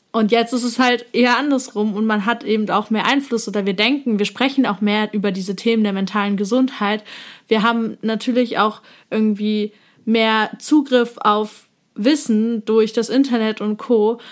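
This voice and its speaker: A woman talks at a moderate pace in a plain, everyday voice with fairly even intonation. The recording is very clean, with a silent background. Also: fairly high pitch for a woman. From eastern Germany. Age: 20s. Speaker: psychology student and influencer. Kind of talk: casual chat.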